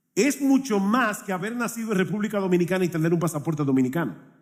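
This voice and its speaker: A man speaks in a high pitch with very wide pitch swings. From Dominican Republic. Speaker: pastor. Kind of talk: sermon.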